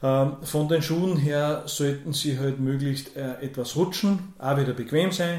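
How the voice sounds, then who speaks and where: A man's fairly high voice at a very slow pace, with fairly even intonation and audible room echo. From Upper Austria, Kremstal. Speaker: dance teacher. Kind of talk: radio interview. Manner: hesitant, many fillers.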